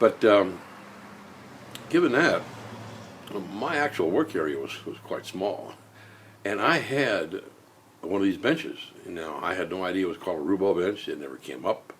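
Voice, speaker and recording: Audible room echo surrounds a man speaking at a moderate pace with long, frequent pauses. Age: 60s. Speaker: woodworker. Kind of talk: tutorial vlog. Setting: home garage. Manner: halting, many fillers.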